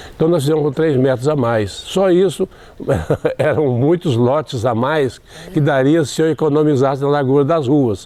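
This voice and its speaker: A man with a fairly high pitch, ordinary pitch variation and a moderate pace, over noticeable background noise. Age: old. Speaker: retired teacher and storyteller. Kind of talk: interview. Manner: halting.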